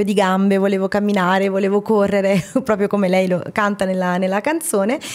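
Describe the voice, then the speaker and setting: At a fairly quick pace, a woman talks at medium pitch in an unremarkable speaking voice. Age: 30s. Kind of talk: casual interview.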